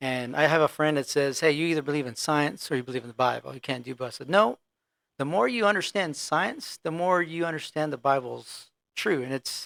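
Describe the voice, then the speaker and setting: Captured in a very clean recording with a silent background and a dry, close sound with no echo, a man with a normal speaking voice talks at a fairly high pitch with ordinary pitch variation. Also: fairly quick pace. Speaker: medevac pilot. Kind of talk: casual podcast chat.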